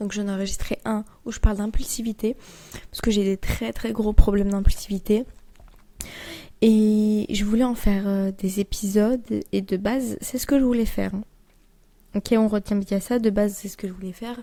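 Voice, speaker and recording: A soft-spoken woman with a fairly high pitch and a dark, mellow tone speaks at a moderate pace. Her intonation is monotone and flat, with big swings in loudness and long, frequent pauses. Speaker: podcast host. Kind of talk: casual monologue. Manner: unscripted, rambling with fillers.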